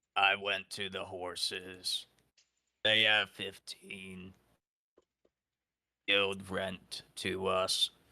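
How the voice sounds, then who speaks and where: In a put-on character voice, a man speaks raspy and fairly low with monotone, flat intonation, very slowly, with long, frequent pauses. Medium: actual play. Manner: broken, clipped simple sentences.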